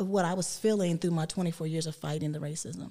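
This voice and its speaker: The speaker is a woman with an American accent. Her tone is dark and mellow, with ordinary pitch variation. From US South (West Virginia). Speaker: police officer. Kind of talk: interview.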